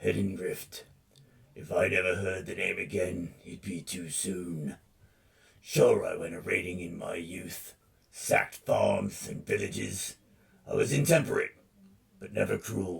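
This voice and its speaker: A man's raspy, put-on character voice at a fairly slow pace, with long, frequent pauses. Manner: pained.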